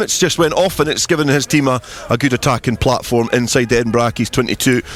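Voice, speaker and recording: Noticeable background noise sits behind a man. He talks at a fairly quick pace and a medium pitch. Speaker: rugby radio commentator. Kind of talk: live sports commentary.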